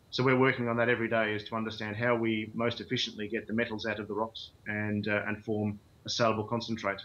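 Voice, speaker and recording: In an Australian accent, a man with a fairly low pitch speaks at a very fast pace with hardly any pauses and a monotone, flat intonation. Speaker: mining company CEO and geologist. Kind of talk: interview. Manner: hesitant, many fillers.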